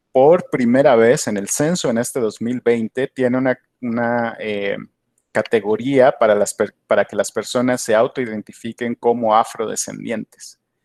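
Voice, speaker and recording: Recorded very cleanly against a silent background, with a dry, close sound and no echo, a man of medium pitch speaks at a fairly slow pace with fairly even intonation. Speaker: PhD candidate, academic speaker. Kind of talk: conference Q&A answer. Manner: hesitant, many fillers and repetitions.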